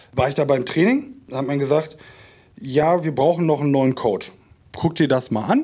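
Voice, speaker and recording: The voice belongs to a man with a fairly high pitch, moving at a moderate pace. It is an ordinary speaking voice. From Minden, East Westphalia, Germany. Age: 30s. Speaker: cyber-security business owner. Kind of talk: casual interview.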